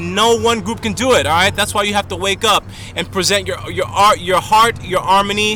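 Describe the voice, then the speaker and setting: Noticeable background noise sits behind a man speaking in a raised, projected voice. His pitch is high with ordinary variation, and his tone is animated. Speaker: video blogger. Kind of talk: monologue to camera. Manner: fast.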